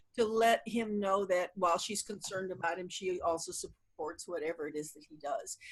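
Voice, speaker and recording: A woman with a medium pitch talks at a very fast pace. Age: 70s. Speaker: therapist. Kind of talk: interview. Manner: halting.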